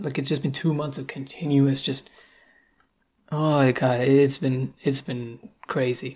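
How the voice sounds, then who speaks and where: At a fairly slow pace, a man talks with somewhat breathy delivery and fairly even intonation. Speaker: podcast host. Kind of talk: casual solo monologue. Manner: hesitant, self-conscious, rambling.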